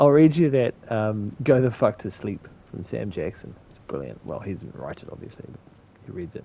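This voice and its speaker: Mumbling with vocal fry, a man with a fairly low pitch and a dark, mellow tone speaks with lively intonation. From New Zealand. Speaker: game streamer. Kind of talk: casual gaming livestream chat.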